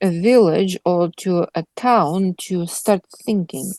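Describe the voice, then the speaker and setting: With a non-native accent and lively intonation, a woman speaks in a dry, close sound with no echo. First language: not English. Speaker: Bible study leader. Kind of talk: Bible study discussion. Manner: halting.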